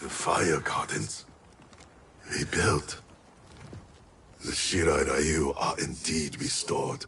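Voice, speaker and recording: A man's solemn, put-on character voice, very slow, with long, frequent pauses. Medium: video game. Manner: terse, solemn.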